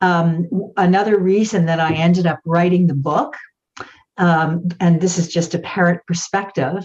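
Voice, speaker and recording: Somewhat breathy, the voice moves at a fairly slow pace. Its intonation is monotone and flat. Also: woman. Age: 60s. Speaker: author and parent. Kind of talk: panel discussion. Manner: halting.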